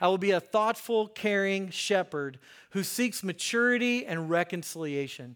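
On a very clean recording with a silent background, a man speaks in an American accent. His high voice moves at a moderate pace with lively intonation. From US Mid-Atlantic (Hagerstown, Maryland). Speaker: pastor and counselor. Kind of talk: sermon. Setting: church with congregation. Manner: casual, conversational with fillers.

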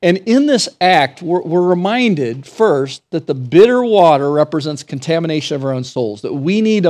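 A normal speaking voice moves at a moderate pace with lively intonation in a very clean recording with a silent background. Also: man. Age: 50s. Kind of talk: sermon. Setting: church.

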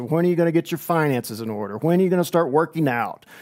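Talking at a fairly quick pace, the man has a normal speaking voice. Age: 40s. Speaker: pastor. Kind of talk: sermon. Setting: online church service.

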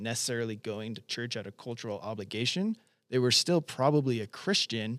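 An ordinary speaking voice moves at a fairly quick pace. The recording is very clean with a silent background, and the sound is dry and close with no echo. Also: man. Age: 30s. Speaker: church resident. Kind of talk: casual chat.

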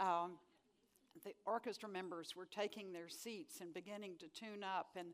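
A woman speaks at a moderate pace with an American accent. She has an ordinary speaking voice with ordinary pitch variation. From Texas. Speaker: author and speaker. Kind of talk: lecture.

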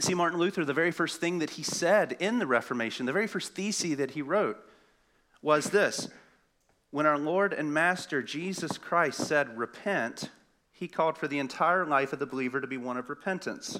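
The tone is bright and sharp, with a Southern US accent. Pitch varies in an ordinary way. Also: man, fairly high pitch for a man, moderate pace. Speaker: pastoral intern. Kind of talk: sermon. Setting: church.

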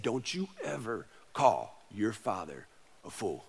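A man puts on a character voice at medium pitch. He talks at a fairly slow pace. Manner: stern, menacing.

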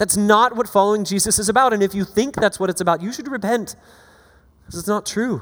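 At a very fast pace, a man with an American accent talks in a high, animated voice with ordinary pitch variation. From US South, Florida Panhandle. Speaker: pastor and author. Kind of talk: sermon. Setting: church.

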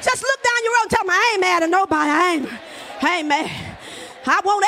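An animated woman's raised, projected voice, extremely high in pitch, with lively intonation and a fairly quick pace over noticeable background noise. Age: 60s. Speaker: preacher. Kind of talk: sermon. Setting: church.

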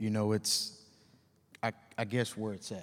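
Fairly low in pitch, a man with an American accent speaks at a fairly slow pace in an ordinary speaking voice. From Texas, Dallas-Fort Worth. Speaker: police officer. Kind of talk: panel discussion.

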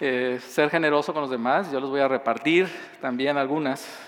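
A man speaks with a Mexican accent. His pitch is fairly high and his pace fairly quick. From southern Mexico. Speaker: pastor. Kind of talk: sermon.

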